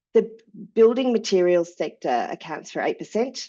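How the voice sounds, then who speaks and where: A woman with an Australian accent against a quiet background. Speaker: sustainability manager. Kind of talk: webinar presentation.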